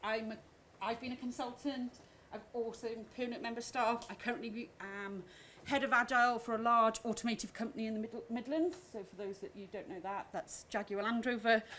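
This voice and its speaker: Her tone is bright and sharp, with a fairly high pitch. The woman moves at a fairly quick pace with ordinary pitch variation. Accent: Welsh. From Wales. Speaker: agile coach. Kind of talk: conference talk. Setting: stage with audience. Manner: fast.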